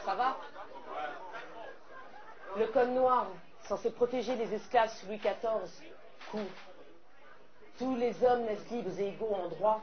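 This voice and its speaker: With crowd noise behind her, a woman speaks at a fairly high pitch and fairly slow pace, with long, frequent pauses and fairly even intonation. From French Caribbean. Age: young. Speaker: slam poet. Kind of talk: slam poetry performance.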